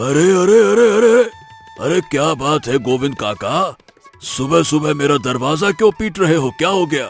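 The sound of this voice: A man's cartoonish character voice, fairly high in pitch and at a moderate pace, with faint music in the background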